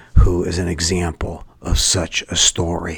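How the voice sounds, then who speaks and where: A man with an American accent at a very slow pace, with noticeable background noise behind him. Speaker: school head and podcast host. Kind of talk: podcast interview, scripted-sounding intro.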